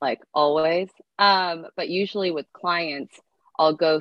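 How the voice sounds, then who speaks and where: A woman speaks in a normal speaking voice. Her pitch is fairly low, with ordinary variation. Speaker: fitness coach. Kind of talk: casual interview chat.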